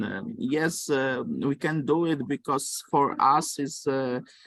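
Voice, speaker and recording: In a Polish accent, a man talks at a fairly high pitch. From Poland. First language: Polish or Romani. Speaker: lecturer. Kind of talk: lecture. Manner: halting, many fillers.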